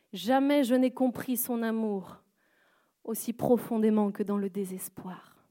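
Her pace is very slow and her intonation fairly even. The woman's tone is dark and mellow, with a fairly high pitch. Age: young. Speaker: guest preacher. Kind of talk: sermon. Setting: church service in a theatre.

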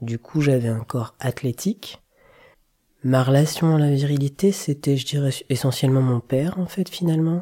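Fairly high in pitch, a man speaks at a moderate pace with a dark, mellow tone and a somewhat breathy quality. His pitch variation is ordinary, and the sound is dry and close with no echo. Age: 40s. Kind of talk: interview testimony. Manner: reflective, measured.

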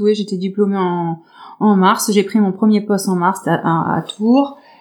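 Speaking at a fairly slow pace, a woman keeps her intonation fairly even at a medium pitch. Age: 30s. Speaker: nursing assistant retraining as fitness coach. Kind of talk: interview. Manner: halting.

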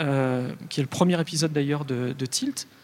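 Moderate-paced speech from a man, with noticeable background noise behind it. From Lyon, France. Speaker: radio podcast producer. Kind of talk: panel discussion.

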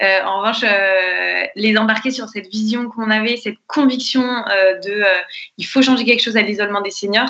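A woman with a normal speaking voice. Her pitch is fairly high and her intonation fairly even. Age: 20s. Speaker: entrepreneur, co-founder of intergenerational nurseries. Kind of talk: podcast interview.

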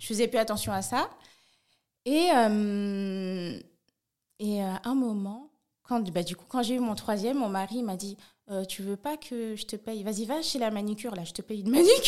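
On a very clean recording with a silent background, a woman with a fairly high voice speaks at a moderate pace, her loudness swinging widely between long, frequent pauses. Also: ordinary pitch variation. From France, Paris suburbs. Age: 30s. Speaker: nail technician and online shop founder. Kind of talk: interview.

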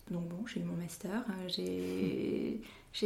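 A woman speaks with vocal fry amid audible room echo. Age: 30s. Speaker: wood turner and cabinetmaker. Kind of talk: interview. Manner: halting.

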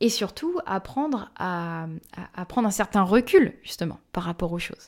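Lively in intonation, a woman with a medium pitch is captured in a very clean recording with a silent background. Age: 20s. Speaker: spiritual medium. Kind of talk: interview.

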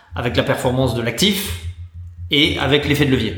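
Amid audible room echo and noticeable background noise, a man talks at medium pitch and a moderate pace. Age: 40s. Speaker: venture capital investor. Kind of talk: interview. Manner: halting with repeated words.

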